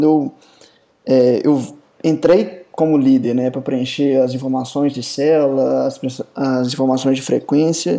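Delivery is on the fairly slow side. The intonation holds fairly even. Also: man. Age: 30s. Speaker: software company co-founder, computer scientist. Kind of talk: casual chat.

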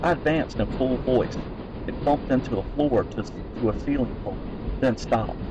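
Ordinary pitch variation in an unforced voice reading aloud.

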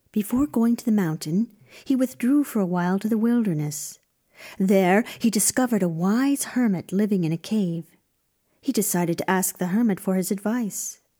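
A woman's medium-pitched, somewhat breathy voice with a dark, mellow tone, dramatic and theatrical, at very even loudness on a very clean recording with a silent background. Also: ordinary pitch variation, moderate pace. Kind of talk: scripted storytelling narration of a fairy tale. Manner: dramatic, storyteller's cadence with theatrical emphasis.

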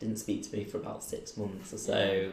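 A man with a Mancunian accent talks at a fairly quick pace. Room echo is audible. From Manchester, England. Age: 30s. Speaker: recruitment business owner. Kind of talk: oral history interview.

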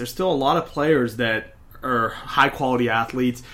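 A man with an American accent talks at a fairly quick pace. He has an ordinary speaking voice at a medium pitch. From Pittsburgh, Pennsylvania. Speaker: college football podcast co-host. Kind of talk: casual sports chat.

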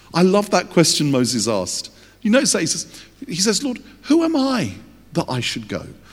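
With an English accent, this man speaks at a moderate pace in a high voice that swings very widely in pitch. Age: 50s. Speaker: youth ministry leader. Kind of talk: sermon.

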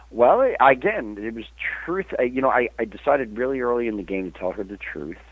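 A man speaks at a medium pitch with lively intonation, in an ordinary speaking voice. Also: fairly quick pace, big swings in loudness. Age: 50s. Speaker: magazine publisher and cannabis activist. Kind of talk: casual interview.

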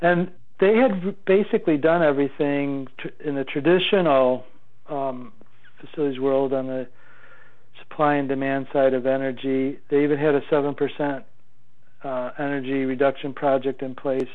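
A man with an ordinary speaking voice talks at a moderate pace. His pitch varies in an ordinary way. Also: fairly high pitch for a man. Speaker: technology executive. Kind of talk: interview.

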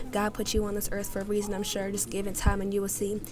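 A woman at a very fast pace and medium pitch, intense in tone, with noticeable background noise. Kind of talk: spoken word poetry performance. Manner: emotionally charged, rhythmic, intense; earnest, pleading, comforting.

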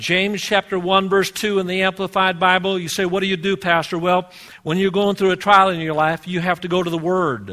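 A man speaks in a high pitch with a raised, projected voice. His pace is fairly quick. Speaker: pastor. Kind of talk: sermon. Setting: church. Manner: animated, call-and-response preaching; loud, fervent, exhorting the congregation.

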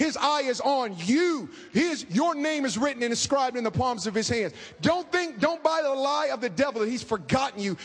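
There is noticeable background noise as a man talks at an extremely high pitch. His intonation is lively. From US West Coast, inner-city Oakland, California. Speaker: preacher and author. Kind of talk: sermon. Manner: animated.

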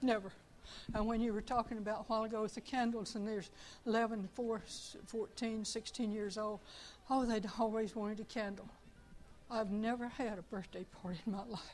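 With music in the background, a woman talks at a moderate pace in a fairly high voice with monotone, flat intonation. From Tucson, Arizona. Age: 70s. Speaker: church member giving a testimony. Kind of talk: testimony. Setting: church.

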